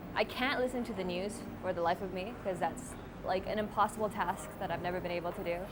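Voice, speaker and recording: Speech comes at a very fast pace with fairly even intonation in a Canadian accent, over noticeable background noise. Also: woman, medium pitch for a woman. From Canada. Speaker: interviewee. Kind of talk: interview.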